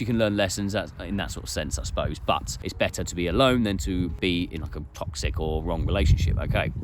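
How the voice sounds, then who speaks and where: A man speaks with a very deep, low voice that makes very wide pitch swings. Noticeable background noise runs beneath him. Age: 30s. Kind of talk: casual talk to camera.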